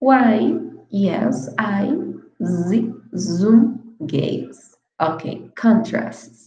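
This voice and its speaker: A woman's fairly high voice with lively intonation, a very slow pace, and audible room echo. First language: Spanish. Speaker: English teacher. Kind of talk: online lecture.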